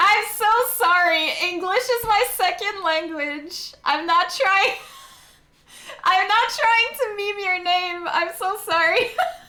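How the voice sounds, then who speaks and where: A woman with a Quebec accent speaks in a raised, projected voice at an extremely high pitch, with a bright, sharp tone, lively intonation and a very slow pace, in a room with audible echo. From Quebec, Canada. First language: French. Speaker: video game streamer. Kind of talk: casual chat. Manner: animated.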